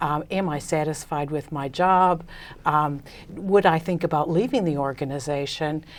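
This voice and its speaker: On a very clean recording with a silent background, a woman with an American accent speaks in a very deep, low voice with ordinary pitch variation. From United States. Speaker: business consultant. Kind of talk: interview. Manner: hesitant with many fillers.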